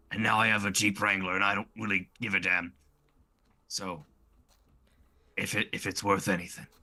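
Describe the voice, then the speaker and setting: A man's raspy, put-on character voice, fairly low and flat in a monotone, at a moderate pace with long, frequent pauses. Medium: actual play.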